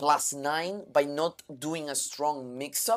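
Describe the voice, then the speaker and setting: A man speaks with a Spanish accent at a fairly high pitch. The recording is very clean, with a silent background. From Canary Islands, Spain. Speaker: pro gamer and streamer. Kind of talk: live stream coaching feedback. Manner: halting, with fillers and restarts.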